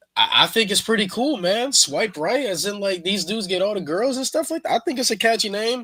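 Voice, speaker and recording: Raising and projecting his voice, a man speaks at a fairly quick pace with hardly any pauses, his tone bright and sharp and his intonation lively. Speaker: wrestling podcast host. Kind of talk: casual commentary.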